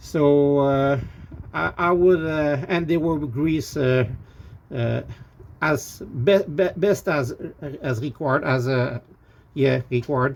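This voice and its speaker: This voice has a French Canadian accent and ordinary pitch variation. The pace is very slow. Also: man. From Quebec, Canada. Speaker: RV owner reviewing parts. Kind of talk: casual product review. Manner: halting, many fillers and repeats.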